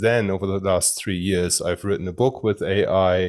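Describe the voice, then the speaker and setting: A man with a German accent, fairly low-pitched, at a moderate pace with fairly even intonation. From Germany. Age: 30s. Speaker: personal branding and AI consultant. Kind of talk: interview. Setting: video call.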